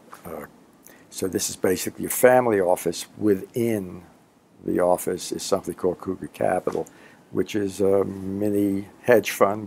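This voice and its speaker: At a moderate pace, a man with a Brooklyn accent speaks with a fairly low pitch and fairly even intonation. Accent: New York (Brooklyn). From Brooklyn, New York. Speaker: finance executive. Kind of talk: interview answer. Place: office.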